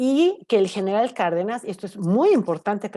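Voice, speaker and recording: A woman speaks at a moderate pace with medium pitch and very wide pitch swings. Her tone is dark and mellow over a quiet background. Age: 50s. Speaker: energy analyst. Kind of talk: panel discussion.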